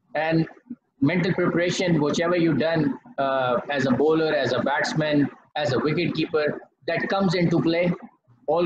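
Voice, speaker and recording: The loudness stays very even throughout, with noticeable background noise. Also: man. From Pakistan. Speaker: former cricketer and batting coach; batting coach. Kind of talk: lecture. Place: home room. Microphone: poor audio connection; video call.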